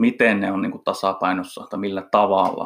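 Here a man is talking. He keeps a moderate pace. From eastern Finland, Kuopio. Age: 30s. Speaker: fitness coach and entrepreneur. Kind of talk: casual interview.

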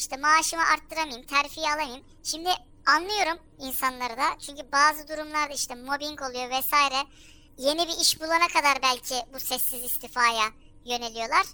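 A woman's raised, projected voice, high in pitch, at a moderate pace with ordinary pitch variation. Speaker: anonymous social media humor account owner, office worker. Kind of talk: casual interview chat.

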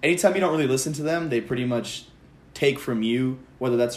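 An unremarkable speaking voice with an American accent and fairly even intonation. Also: man. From Palm Springs, California. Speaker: college student guest. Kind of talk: casual chat.

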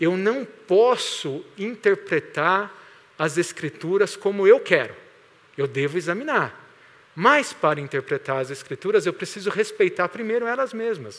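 Lively intonation and a high pitch from a man, at a fairly slow pace. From Greater São Paulo (Santo André). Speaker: pastor. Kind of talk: sermon.

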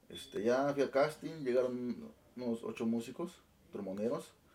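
The tone of this man's voice is dark and mellow. His pitch is medium. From Oaxaca, Sierra Juárez, Mexico. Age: 20s. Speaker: band musical director. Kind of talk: casual interview.

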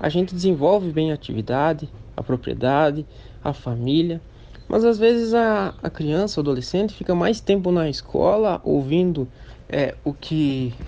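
At a fairly slow pace, a man with a fairly high pitch and a dark, mellow tone speaks with lively intonation. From Santa Catarina, Brazil (Midwest region). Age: 20s. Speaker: young farmer and beekeeper. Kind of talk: interview testimony.

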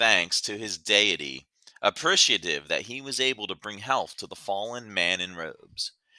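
With little noise behind, the text is read aloud in a natural voice.

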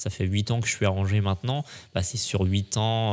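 A man with an ordinary speaking voice talks in a fairly low pitch with fairly even intonation. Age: 20s. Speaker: photographer. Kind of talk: casual chat. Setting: studio.

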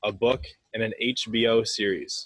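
A man speaks with a Canadian accent. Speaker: podcast host. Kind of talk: trivia quiz; casual interview. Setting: in person.

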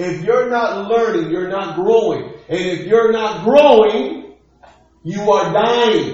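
Speaking very slowly, a man uses a high pitch and lively intonation. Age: 40s. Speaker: pastor. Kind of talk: sermon. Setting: church livestream.

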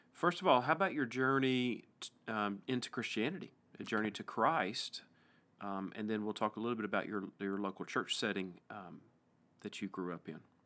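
A man with an East Tennessee accent speaks at a moderate pace in a fairly low pitch. His tone is bright and sharp, with ordinary pitch variation. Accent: East Tennessee Southern US. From US South, East Tennessee. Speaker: pastor and podcast host. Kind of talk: casual interview conversation. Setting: church pastoral study, studio.

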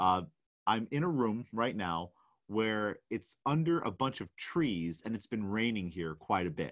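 Over a quiet background, a man talks at a fairly low pitch with very wide pitch swings. His pace is fairly slow. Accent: American. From New York. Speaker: weightlifting coach and podcast host. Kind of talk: solo podcast monologue. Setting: vacation rental room with rain noise.

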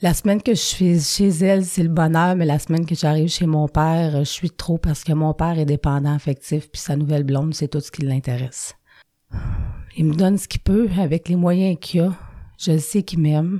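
A woman's fairly low-pitched voice with a dark, mellow tone and a Quebec accent, at a moderate pace, in a very clean, dry, close recording with a silent background and no echo. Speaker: recovering alcoholic sharing her story. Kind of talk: personal testimony. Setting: studio. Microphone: close to the microphone.

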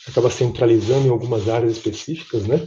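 This man's medium-pitched voice is dark and mellow, somewhat breathy, with fairly even intonation. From Brazil, São Paulo. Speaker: M&A advisor. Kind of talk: interview. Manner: halting, frequent fillers.

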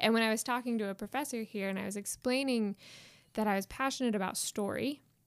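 Fairly high-pitched and with an American accent, a woman talks at a very fast pace with fairly even intonation. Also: very clean recording, silent background. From Indiana, US Midwest. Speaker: PhD student and former student. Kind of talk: casual interview.

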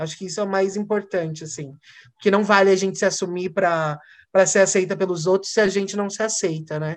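A fairly quick pace against a quiet background. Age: young. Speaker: actor and educator. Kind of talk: casual interview chat. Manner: animated.

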